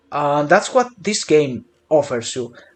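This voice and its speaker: A man speaks with a non-native accent. His pitch swings very widely. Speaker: gaming youtuber. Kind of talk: casual chat; tutorial. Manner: hesitant with fillers.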